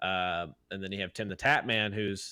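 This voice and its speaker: A loud man with a bright, sharp tone is heard in a very clean recording with a silent background. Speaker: podcast host and streamer. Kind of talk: casual chat.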